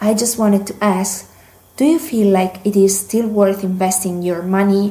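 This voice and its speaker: A woman speaks with an Italian accent and fairly even intonation. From Italy. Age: 20s. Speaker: language student, listener. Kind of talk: recorded listener question.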